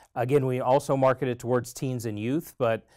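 Over a quiet background, a man talks at a fairly quick pace with fairly even intonation. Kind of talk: interview answer. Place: studio. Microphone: lapel.

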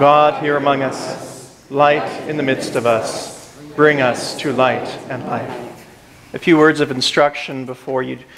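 Very slow, monotone speech with flat intonation over noticeable background noise. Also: man. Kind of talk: liturgy and sermon-like remarks. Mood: warm, solemn. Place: church.

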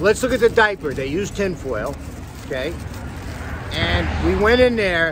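Over noticeable background noise, a man talks at a moderate pace with lively intonation in a dry sound with no echo. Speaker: food reviewer. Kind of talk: casual food review chat. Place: street. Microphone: phone near.

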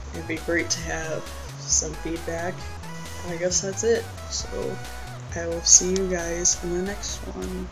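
Over clear music in the background, a man with a very deep, low pitch and ordinary pitch variation speaks fairly slowly with long, frequent pauses. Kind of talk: casual talk to camera. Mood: unsure, reflective. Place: home room. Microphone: webcam.

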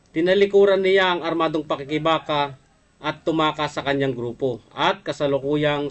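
The pace is moderate. A man speaks with a fairly high pitch. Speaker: livestream program host, former rebel. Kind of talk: livestream talk show reading news items. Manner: hesitant with frequent fillers; polite, formal address.

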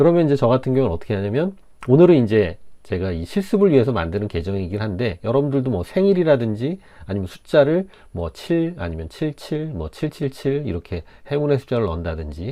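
At a fairly quick pace, a man with a medium-pitched voice makes very wide pitch swings. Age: 50s. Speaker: software trainer. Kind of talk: tutorial.

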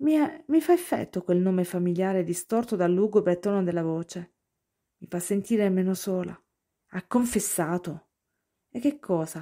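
A woman at medium pitch speaks with a dark, mellow tone and ordinary pitch variation, her loudness swinging widely. At a moderate pace with long, frequent pauses, she is captured on a very clean recording against a silent background. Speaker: audiobook-style reader. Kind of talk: dramatic narration, first-person reading of a story.

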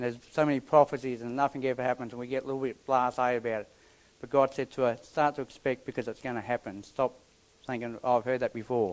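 At a very fast pace, a man speaks with fairly even intonation. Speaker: preacher. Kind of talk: sermon. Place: church.

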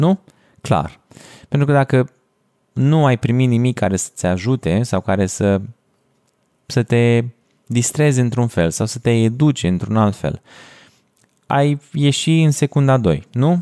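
Over a quiet background, a man with a dark, mellow tone speaks at a fairly slow pace, using lively intonation and long, frequent pauses. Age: 20s. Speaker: podcast host and video editor; podcast host. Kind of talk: solo podcast monologue. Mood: calm, thoughtful. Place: home room. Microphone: studio mic.

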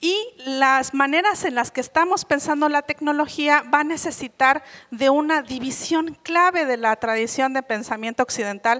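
A bright, sharp tone at a moderate pace, with ordinary pitch variation and a quiet background. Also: woman, high pitch for a woman. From Oaxaca, Mexico. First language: Mixe (speaking Spanish). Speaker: conference speaker. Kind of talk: keynote lecture. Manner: many hesitations and self-corrections. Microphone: handheld.

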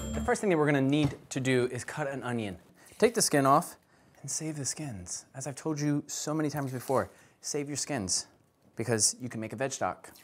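Over music in the background, a man speaks at a moderate pace with lively intonation. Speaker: cooking video host. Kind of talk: cooking tutorial. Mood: playful, joking. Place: kitchen. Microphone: lapel.

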